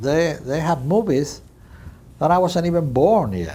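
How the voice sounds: With audible room echo, a man speaks at a fairly slow pace in a dark, mellow tone, fairly high in pitch, with big pitch swings.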